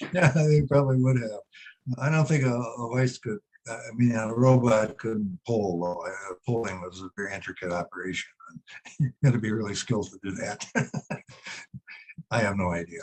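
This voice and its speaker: A man with an Upper Midwest accent speaks at a medium pitch and a moderate pace, with long, frequent pauses. His loudness swings widely, and the sound is dry and close with no echo. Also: ordinary pitch variation. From northern Wisconsin. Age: 80s+. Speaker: retired history teacher. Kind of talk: Q&A after a webinar talk. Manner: halting.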